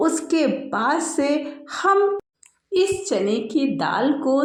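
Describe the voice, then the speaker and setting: Audible room echo around a woman speaking at a high pitch. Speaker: cooking channel host. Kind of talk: cooking tutorial. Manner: chatty, conversational.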